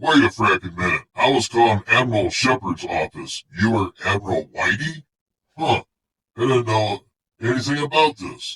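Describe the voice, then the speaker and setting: In a put-on character voice at medium pitch, a man talks with a dry, close sound and no echo. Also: moderate pace. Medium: audio drama. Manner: gruff, blustery.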